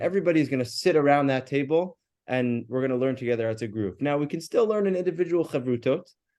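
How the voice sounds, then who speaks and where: A man with an American accent, a dark, mellow tone, lively intonation and a very fast pace. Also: fairly high pitch for a man. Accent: more American than his colleague. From US, New York. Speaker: rabbi and yeshiva teacher. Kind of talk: religious class discussion.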